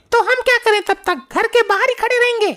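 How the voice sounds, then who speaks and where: This squeaky, cartoonish character voice rattles along at a very fast pace. Its loudness stays very even throughout. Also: woman, extremely high pitch for a woman, ordinary pitch variation. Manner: brash, bossy.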